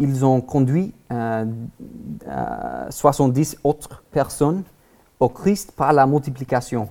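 The speaker talks with an American accent at a very slow pace. Long pauses come often. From Texas, US. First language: English (speaking French). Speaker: guest preacher. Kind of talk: sermon. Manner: halting, many hesitations.

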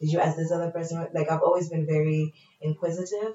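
A woman's fairly low, somewhat breathy voice with an American accent. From Tanzania and Pennsylvania, US. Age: 20s. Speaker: radio presenter and actor. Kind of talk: casual chat. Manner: animated.

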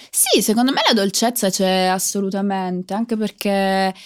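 A woman talks at a fairly slow pace with fairly even intonation and medium pitch, in an unremarkable speaking voice. The recording is very clean, with a silent background. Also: very even loudness. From southern Italy, Foggia (Apulia). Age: 20s. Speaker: singer. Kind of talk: interview.

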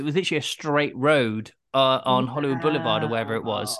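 Against a quiet background, a man with a British accent talks at a very fast pace with ordinary pitch variation. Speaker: podcast host. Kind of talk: podcast interview. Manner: enthusiastic.

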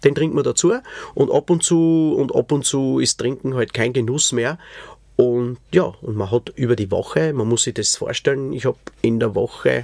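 Here is a man with an unremarkable speaking voice, medium in pitch with ordinary pitch variation. He goes at a fairly slow pace, and the sound is dry and close with no echo. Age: 40s. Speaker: podcast host, musician. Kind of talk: personal testimony.

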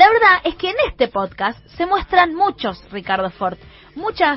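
A woman speaks with a Rioplatense accent. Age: 30s. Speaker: radio host. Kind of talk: radio segment with interview clips.

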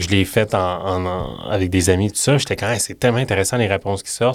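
With a Quebec accent, a man speaks at a fairly low pitch. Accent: Québécois French. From Quebec City. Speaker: podcast host. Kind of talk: casual interview. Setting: studio.

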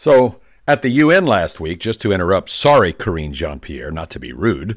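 On a very clean recording with a silent background, a man speaks with vocal fry and very wide pitch swings. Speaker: political commentator podcast host. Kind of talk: opinionated political rant with played clips. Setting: pre-recorded show. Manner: animated, sarcastic.

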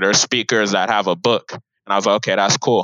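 Speaking fairly quickly, a man with a Southern California accent keeps a monotone, flat intonation. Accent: Southern California sound. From Riverside, California. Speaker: chemical engineer, author and speaker. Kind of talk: interview. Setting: remote call.

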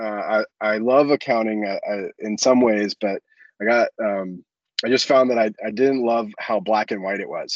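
A normal speaking voice with an American accent moves at a moderate pace with ordinary pitch variation. The sound is dry and close, with no echo. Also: man. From US South, Florida (Ocala). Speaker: business founder and CEO. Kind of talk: casual interview.

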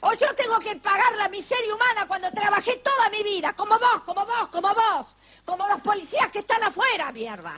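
Raising and projecting her voice, a woman speaks at a fairly quick pace in an extremely high pitch with ordinary variation. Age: 30s. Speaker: radio host. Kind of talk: casual chat. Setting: studio.

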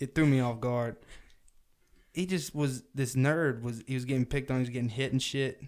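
Speaking at a moderate pace in a Southern US accent, a man keeps a medium pitch and fairly even intonation. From US South. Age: 20s. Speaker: podcast host. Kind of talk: casual chat.

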